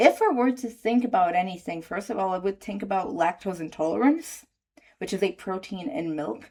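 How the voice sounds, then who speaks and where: A woman with a Portuguese accent speaks at a fairly slow pace and medium pitch. Her intonation is lively. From Brazil. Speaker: medical student and YouTuber. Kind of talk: casual reading aloud of online posts with commentary. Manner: halting, stumbling over words.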